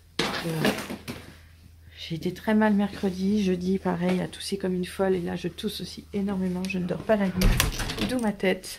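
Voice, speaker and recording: A woman talks quietly and fairly slowly in a medium pitch with monotone, flat intonation, over noticeable background noise. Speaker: family vlogger, mother. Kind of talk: casual vlog. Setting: at home.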